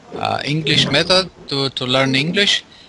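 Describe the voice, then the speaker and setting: Noticeable background noise sits behind a man speaking at a fairly slow pace. His pitch is fairly high and his intonation fairly even. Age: 50s. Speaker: engineer, English learner. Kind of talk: casual chat. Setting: Skype call. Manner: halting.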